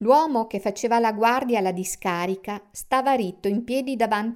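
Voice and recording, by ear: The reading aloud sounds natural. Ordinary pitch variation runs through it.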